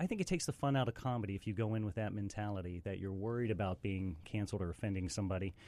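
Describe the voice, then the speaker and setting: A man with an American accent, fairly low pitch, dark mellow tone, ordinary pitch variation, very fast pace with hardly any pauses, very clean recording and silent background. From West Virginia. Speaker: stand-up comedian. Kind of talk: casual chat. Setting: studio.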